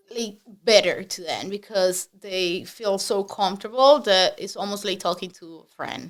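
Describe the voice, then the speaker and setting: The speaker has a strong Spanish accent and a moderate pace. Intonation stays fairly even while loudness swings widely. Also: woman, medium pitch for a woman. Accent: heavy Spanish. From Spanish-speaking country. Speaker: real estate agent. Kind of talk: podcast interview.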